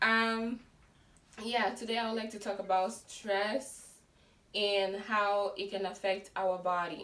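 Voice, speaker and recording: A woman speaks at a very slow pace and medium pitch with fairly even intonation, and audible room echo surrounds her voice. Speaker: lifestyle vlogger. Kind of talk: casual vlog talk. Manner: loud. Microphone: no microphone.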